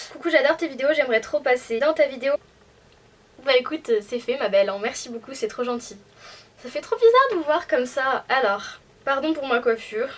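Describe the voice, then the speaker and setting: With long, frequent pauses, a woman speaks at a moderate pace in a high pitch over noticeable background noise. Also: ordinary pitch variation. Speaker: youtuber. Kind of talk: casual chat, Q&A. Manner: hesitant, lots of fillers.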